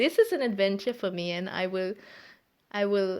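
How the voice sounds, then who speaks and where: A German accent shapes the speech. It moves along at a moderate pace. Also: woman, very clean recording, silent background. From Germany. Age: 30s. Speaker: podcaster. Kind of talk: casual monologue. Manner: halting, many fillers.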